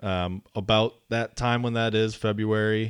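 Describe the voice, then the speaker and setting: A man with an American accent and a plain, everyday voice, fairly low in pitch with fairly even intonation, against a quiet background. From Wisconsin. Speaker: land trust development associate. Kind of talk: casual chat. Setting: studio.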